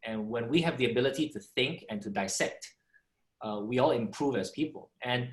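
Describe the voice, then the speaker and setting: His voice is medium-pitched and somewhat breathy, with lively intonation. The man keeps a moderate pace. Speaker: entrepreneur and former radio DJ. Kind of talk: panel discussion. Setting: video call.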